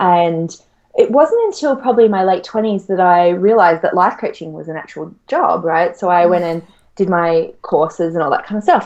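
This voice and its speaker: A woman with an Australian accent, medium pitch, ordinary pitch variation and a moderate pace. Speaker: money mindset coach. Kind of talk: interview.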